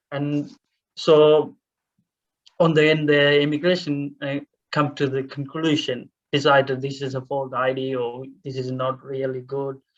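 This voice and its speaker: Monotone, flat delivery from a man with a Tamil accent, fairly high-pitched and fairly slow. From Sri Lanka (Tamil). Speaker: refugee speaker. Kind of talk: panel Q&A testimony. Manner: halting, many fillers.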